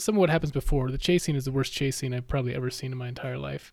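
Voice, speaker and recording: This man has an ordinary speaking voice, pitched fairly high, with ordinary pitch variation. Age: 40s. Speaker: podcast guest, movie fan. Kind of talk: casual chat.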